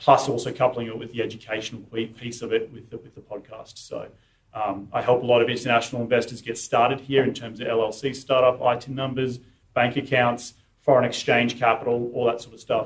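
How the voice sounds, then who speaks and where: A man speaks at medium pitch in an Australian accent, somewhat breathy and flat in intonation. His loudness swings widely. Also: fairly quick pace. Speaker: real estate investor and podcaster. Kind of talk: talk at investor meetup.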